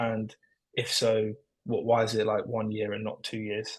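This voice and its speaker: With a London accent, a man talks at a moderate pace. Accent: British (London). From London, England. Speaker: prospective applicant. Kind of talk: online info session Q&A. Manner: hesitant, many fillers.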